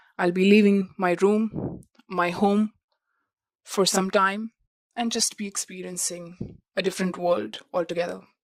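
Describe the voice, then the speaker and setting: A woman talks at a fairly slow pace with a non-native accent. Her intonation is monotone and flat. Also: medium pitch for a woman. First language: not English. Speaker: international student vlogger. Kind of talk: podcast monologue.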